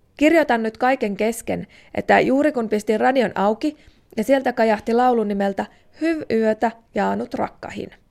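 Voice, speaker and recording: This is a woman with an ordinary speaking voice and a fairly high pitch. She talks at a moderate pace with ordinary pitch variation, on a very clean recording with a silent background. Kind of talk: literary letter reading, a child's letter read aloud. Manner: young, plaintive, wistful, sincere, a little tearful and pleading.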